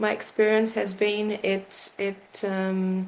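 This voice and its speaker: The speaker's intonation is monotone and flat, with noticeable background noise behind it. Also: woman. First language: not English. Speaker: psychotherapist and yoga teacher. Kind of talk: interview. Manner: halting, many fillers.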